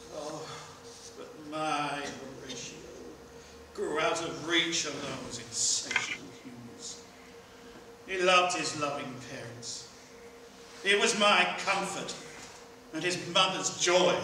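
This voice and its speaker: The speech moves at a very slow pace with long, frequent pauses, audible room echo and noticeable background noise. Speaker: stage actor. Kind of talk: theatrical monologue, Shakespeare soliloquy performance. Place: stage.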